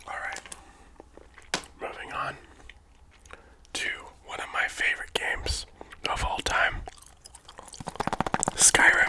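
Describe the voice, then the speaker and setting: A man whispers at a fairly slow pace with long, frequent pauses. Noticeable background noise sits behind him. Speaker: ASMR creator. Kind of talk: casual talk to camera. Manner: casual, chatty, conversational.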